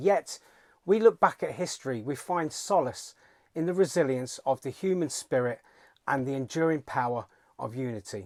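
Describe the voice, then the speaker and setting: With a British accent, a man speaks at a moderate pace with lively intonation, in a dry, close sound with no echo. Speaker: political commentator. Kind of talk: political speech. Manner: calm, resolute; formal.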